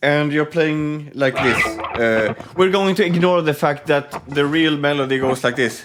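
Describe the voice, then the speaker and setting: A man with a non-native accent speaks at a fairly slow pace with hardly any pauses, his fairly high pitch moving with ordinary variation and his loudness very even, while music plays in the background. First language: not English. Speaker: guitar reaction youtuber. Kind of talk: casual video reaction commentary. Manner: halting, many fillers and restarts.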